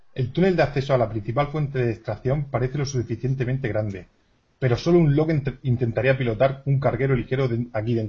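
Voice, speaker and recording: A man's somewhat breathy, medium-pitched voice at a fairly quick pace, with ordinary pitch variation. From Cartagena, Spain. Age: 30s. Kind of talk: role-play game session.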